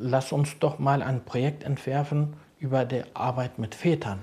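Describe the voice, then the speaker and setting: A man speaks in a somewhat breathy, dark and mellow voice. His tone is calm and his intonation fairly even. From Berlin-Kreuzberg. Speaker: social worker. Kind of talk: interview.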